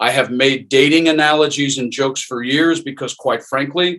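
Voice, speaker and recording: A man with an American accent speaks at a moderate pace in a normal speaking voice. His pitch sits fairly high, and his intonation stays fairly even. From US South. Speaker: acting coach. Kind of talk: online workshop. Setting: video call.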